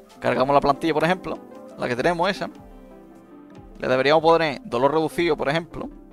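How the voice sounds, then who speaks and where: Music plays in the background as a man with an Andalusian accent talks with ordinary pitch variation. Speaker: gaming content creator. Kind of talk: casual gameplay commentary.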